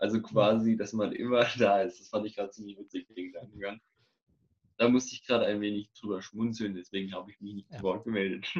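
Flat and monotone, a man talks very fast at a fairly low pitch, with big swings in loudness. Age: 20s. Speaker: police cadet and church media volunteer. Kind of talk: casual chat.

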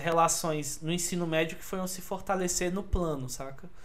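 High-pitched for a man, the voice competes with noticeable background noise. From Brasília (Taguatinga and Asa Norte). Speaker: podcast guest. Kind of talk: casual chat.

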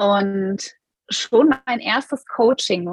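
A woman's somewhat breathy, medium-pitched voice shows ordinary pitch variation, recorded dry and close with no echo. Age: 30s. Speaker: business coach. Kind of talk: interview.

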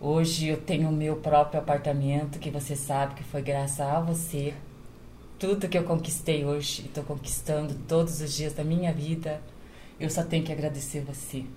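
Delivered at a moderate pace, the somewhat breathy voice has a dark, mellow tone and monotone, flat intonation, with audible room echo. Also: woman, very deep, low pitch for a woman. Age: 50s. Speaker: domestic worker and caregiver. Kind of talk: casual chat.

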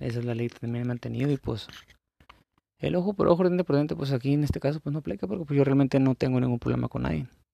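Talking at a very fast pace, a man with a medium pitch and a dark, mellow tone uses lively intonation in a dry, close sound with no echo. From Baja California Sur, Mexico. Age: 30s. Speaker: gaming content creator. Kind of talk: casual monologue. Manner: halting.

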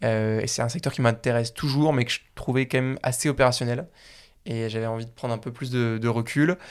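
On a very clean recording with a silent background, a man of medium pitch speaks at a fairly quick pace with fairly even intonation. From Paris area, France. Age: 20s. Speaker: startup founder. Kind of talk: interview. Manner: hesitant, many fillers and repeats.

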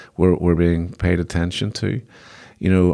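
A man with a very deep, low pitch speaks with a Belfast accent. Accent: Belfast Northern Irish. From Northern Ireland, Belfast. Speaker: business executive and investor. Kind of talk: interview, casual chat. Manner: halting, many repetitions.

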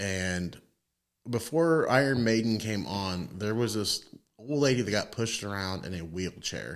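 This man has a plain, everyday voice, pitched fairly low with ordinary pitch variation. He talks at a fairly slow pace. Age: 30s. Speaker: podcast co-host. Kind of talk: casual chat.

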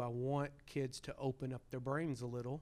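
With a Southern US accent, a man speaks at medium pitch in a monotone, flat intonation. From Arkansas. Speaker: history teacher and podcast co-host. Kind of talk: casual chat.

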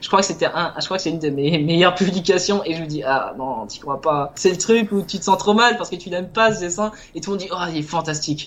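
With hardly any pauses, a man talks at a fairly quick pace in a high pitch with ordinary pitch variation, over noticeable background noise. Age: 20s. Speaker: illustrator and self-published game author. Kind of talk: casual interview.

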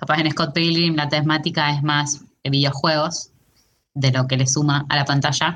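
In a Rioplatense accent, a woman speaks at a moderate pace and a very deep, low pitch, with very even loudness and monotone, flat intonation. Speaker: podcast co-host. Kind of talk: casual chat.

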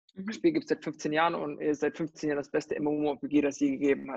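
Against a quiet background, a man talks at a moderate pace with fairly high pitch in a dry, close sound with no echo. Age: 30s. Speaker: recruitment company founder, gamer. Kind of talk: interview. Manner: halting, many fillers.

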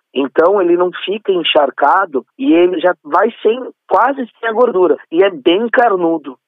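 With a São Paulo accent, a man talks at a fairly slow pace in a high voice with lively intonation. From São Paulo state, Brazil. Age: 30s. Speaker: event organizer. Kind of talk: interview.

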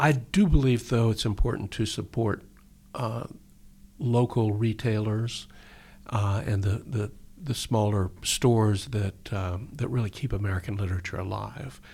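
At a fairly slow pace, a somewhat breathy voice talks with ordinary pitch variation. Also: man, fairly low pitch for a man. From Texas. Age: 60s. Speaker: poet and novelist. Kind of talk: poetry reading and interview. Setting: radio studio.

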